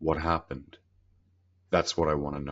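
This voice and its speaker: In a put-on character voice, a man sounds gruff at a very deep, low pitch, keeping a monotone, flat intonation at a moderate pace. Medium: read story. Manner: gruff, authoritative.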